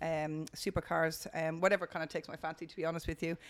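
In an Irish accent, the speaker is heard in a very clean recording with a silent background. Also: woman. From Ireland. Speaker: motorsport volunteer official. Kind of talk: casual chat.

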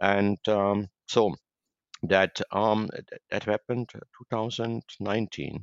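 A man with a German accent, fairly low in pitch, at a very slow pace. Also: fairly even intonation. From Germany. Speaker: tech company chairman. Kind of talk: interview. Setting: remote call. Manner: halting, many fillers.

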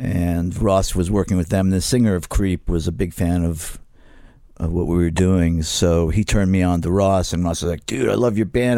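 A man's very deep, low voice with an American accent, a dark, mellow tone, ordinary pitch variation, very even loudness and a fairly quick pace, on a very clean recording with a silent background. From New York. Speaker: punk musician. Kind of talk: interview. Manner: casual, halting.

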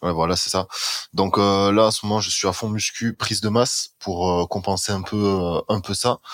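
A man speaks slowly-ish at a fairly low pitch in a flat monotone, the sound dry and close with no echo. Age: 20s. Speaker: student and marketing agency owner. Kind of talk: casual chat.

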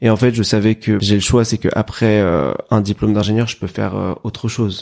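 The recording is very clean with a silent background. A man speaks at a moderate pace and a fairly low pitch with fairly even intonation. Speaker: engineering student. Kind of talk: casual interview.

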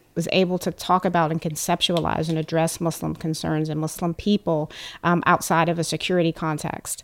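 Recorded very cleanly against a silent background, a woman with an American accent speaks in a normal speaking voice at a fairly low pitch. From United States. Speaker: writer and PhD candidate. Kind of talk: group discussion. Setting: studio.

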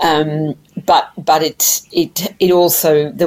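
Noticeable background noise sits behind a speaker with an Australian accent whose intonation stays fairly even. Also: woman. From Tasmania, Australia. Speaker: mental health policy director. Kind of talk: interview.

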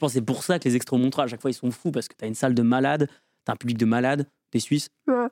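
Recorded dry and close with no echo, a man speaks very fast at a medium pitch, his tone dark and mellow and his intonation fairly even. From Lorraine, France. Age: 20s. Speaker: stand-up comedian and engineering student. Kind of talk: casual interview chat.

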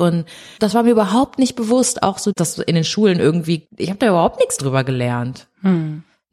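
Somewhat breathy, this voice keeps to a moderate pace. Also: woman. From Düsseldorf, Germany (born in Brazil). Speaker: filmmaker and video journalist. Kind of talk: casual interview. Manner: halting, many fillers.

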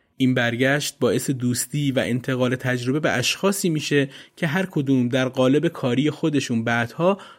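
The speaker is a man with an ordinary speaking voice at medium pitch. He talks at a moderate pace with ordinary pitch variation. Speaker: podcast narrator. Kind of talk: scripted narration.

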